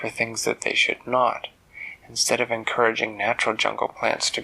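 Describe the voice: The speaker is doing plain reading aloud. Nothing more is added to the delivery.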